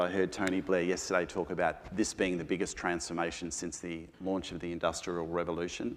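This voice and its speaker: Talking at a fairly quick pace, a man with an Australian accent holds a very deep, low pitch and a flat, monotone intonation. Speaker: panelist at a business forum. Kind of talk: panel discussion.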